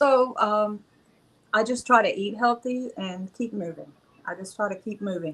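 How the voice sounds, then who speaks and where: A woman with an American accent and an unremarkable speaking voice, fairly high in pitch with ordinary pitch variation, at a moderate pace, with big swings in loudness. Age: 60s. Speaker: panelist. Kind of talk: panel discussion.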